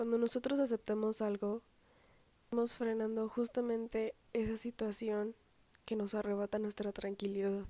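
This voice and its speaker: A woman's dark, mellow voice moves at a moderate pace with flat, monotone intonation, in a dry, close sound with no echo. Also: fairly high pitch for a woman. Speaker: podcast host. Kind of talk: motivational monologue.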